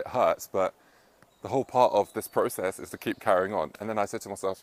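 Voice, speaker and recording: At a fairly quick pace, a man speaks in a dry, close sound with no echo. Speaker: self-help vlogger. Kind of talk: casual vlog monologue. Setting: outdoors, up in a tree. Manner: fast.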